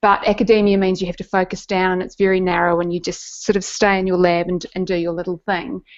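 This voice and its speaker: Talking at a very fast pace with hardly any pauses, a woman with a New Zealand accent keeps a medium pitch and flat, monotone intonation. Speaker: neuroscientist and science communicator. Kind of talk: interview storytelling. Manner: halting, with repetitions.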